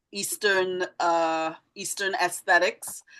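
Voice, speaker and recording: This woman has a Trinidadian accent and a fairly low pitch. The background is quiet. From Trinidad and Tobago. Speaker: teacher, poet and author. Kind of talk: interview conversation. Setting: live video stream.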